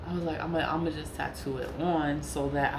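Noticeable background noise runs through the clip. A woman talks in an American accent. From New York. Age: 40s. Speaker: spiritual content creator. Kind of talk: casual monologue. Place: home room. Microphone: phone near.

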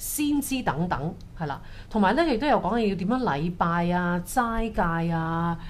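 This woman speaks with lively intonation at a fairly low pitch. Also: moderate pace.

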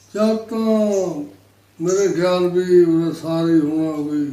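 A man speaks at a high pitch with ordinary pitch variation, and the room echo is audible. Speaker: partition witness. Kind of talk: oral history interview.

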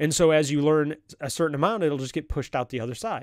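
The man speaks at a very fast pace. The sound is dry with no echo over a quiet background. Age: 30s. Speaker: podcast host. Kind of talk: solo motivational monologue. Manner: halting. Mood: earnest, reflective. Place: home room. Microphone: studio mic.

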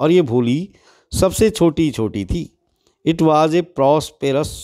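This man's pitch sits fairly high. His tone is dark and mellow. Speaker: teacher. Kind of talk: lecture. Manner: reads English text and explains line by line in Hindi.

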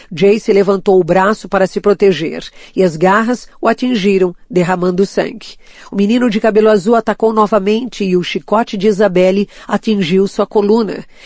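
In a normal speaking voice of medium pitch, a woman talks at a moderate pace with very even loudness, the sound dry and close with no echo. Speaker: audiobook narrator. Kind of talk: audiobook reading of a fantasy novel, dramatic narration.

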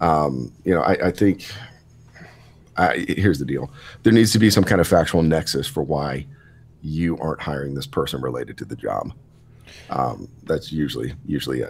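A man's very deep, low voice with vocal fry, ordinary pitch variation, a moderate pace, and long, frequent pauses. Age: 30s. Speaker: podcast guest, lifter. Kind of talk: casual chat.

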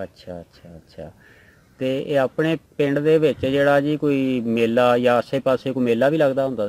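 This man's loudness swings widely while his pitch varies in an ordinary way. The sound is dry, with no echo. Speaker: interviewer. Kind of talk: interview questions. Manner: polite, respectful. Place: farm. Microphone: handheld.

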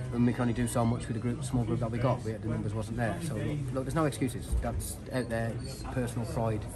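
Clear background music under a man talking at a fairly quick speed. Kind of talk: interview answer. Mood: disappointed, firm. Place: stadium. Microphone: handheld.

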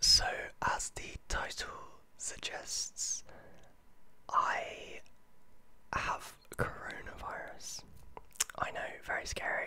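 A whispering man. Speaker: vlogger. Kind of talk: casual vlog chat. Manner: soft-spoken, hushed close-mic voice. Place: home room. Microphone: studio mic.

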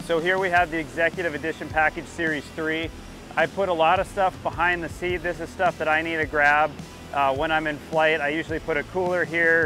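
Over clear background music, a man speaks at a fairly quick pace in a flat monotone, the sound dry with no echo. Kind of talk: casual vlog chat. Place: street.

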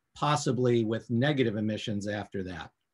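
A man's voice, somewhat breathy, comes through with a quiet background. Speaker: professor, guest. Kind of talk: lecture. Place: home room. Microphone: video call.

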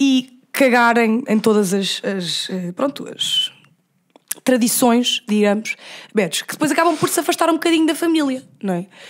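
Animated in tone, a woman speaks with lively intonation. Her pitch is high and her pace moderate. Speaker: podcast host. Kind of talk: casual chat.

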